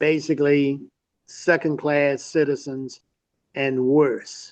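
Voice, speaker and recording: A fairly high-pitched man's voice with a Mississippi accent, at a very slow pace. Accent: Southern US (Mississippi). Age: 70s. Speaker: civil rights activist's son. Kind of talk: interview.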